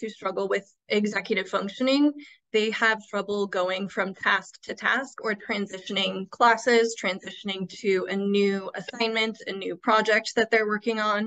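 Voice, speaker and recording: A woman with an American accent speaks at a moderate pace. Her intonation is flat and monotone, and the background is quiet. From Iowa. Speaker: school administrator; presenter. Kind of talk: webinar presentation. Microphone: video call.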